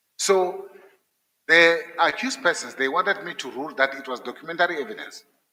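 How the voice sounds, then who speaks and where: With a non-native accent, a man talks at a fairly quick pace in a high pitch. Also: big swings in loudness. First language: not English. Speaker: judge candidate. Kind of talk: job interview. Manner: halting, repeats words.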